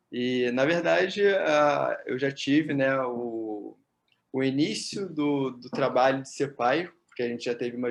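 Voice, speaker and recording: A man with an ordinary speaking voice talks fairly slowly at a medium pitch, with ordinary pitch variation. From Brazil, Rio de Janeiro. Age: 30s. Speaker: physiotherapist and psychotherapist. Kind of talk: interview. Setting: at home.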